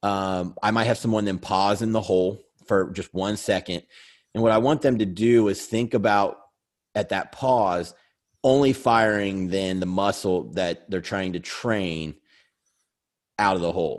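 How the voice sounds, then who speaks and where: Long, frequent pauses break up speech with ordinary pitch variation in a very clean recording with a silent background. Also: man. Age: 40s. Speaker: bodybuilder and coach. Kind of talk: casual chat.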